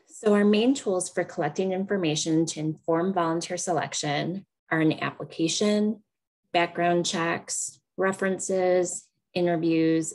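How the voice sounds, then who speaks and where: Using an ordinary speaking voice, a woman talks at a fairly low pitch and moderate pace with fairly even intonation. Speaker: extension educator presenting on volunteer management. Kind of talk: webinar presentation.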